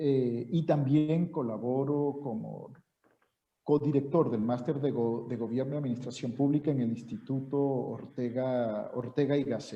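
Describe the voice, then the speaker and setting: Here a man talks with fairly even intonation. His pitch is medium and his pace fairly slow. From Venezuela. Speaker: university professor. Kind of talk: seminar introduction.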